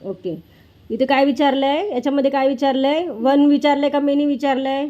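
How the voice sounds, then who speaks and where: A woman speaks loudly in a high voice with a dark, mellow tone. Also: ordinary pitch variation. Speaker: mother and family vlogger. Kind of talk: tutoring a child at home, vlog.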